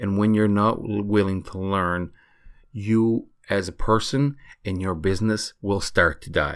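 With a non-native accent, a man speaks fairly slowly in a fairly low pitch with ordinary pitch variation. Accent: noticeable foreign. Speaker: e-commerce entrepreneur and podcast host. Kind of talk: solo podcast monologue.

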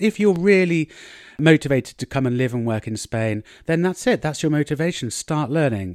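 A man with an English accent and a fairly high pitch uses lively intonation, the sound dry and close with no echo in a very clean recording with a silent background. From England. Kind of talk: solo podcast monologue, language-learning tips. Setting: outdoors in a garden. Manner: casual, chatty with fillers.

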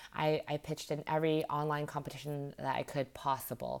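A very clean recording with a silent background, in a Canadian accent. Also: woman. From Vancouver, western Canada. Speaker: startup founder and CEO. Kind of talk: interview.

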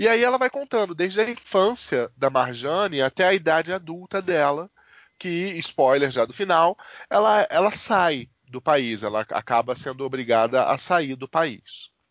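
Pitched high with very wide swings, a man speaks at a fairly slow pace. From Rio de Janeiro. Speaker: podcast co-host. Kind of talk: casual chat.

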